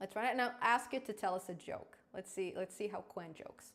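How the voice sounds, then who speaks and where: A woman speaks with a slight non-native accent. Her tone is animated. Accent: slight foreign. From Israel, born in Crimea. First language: Russian. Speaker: programming YouTuber. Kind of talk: live stream tutorial. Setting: live stream.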